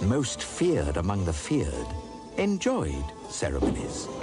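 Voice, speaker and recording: A man speaks while music plays in the background. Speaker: narrator. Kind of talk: read story narration.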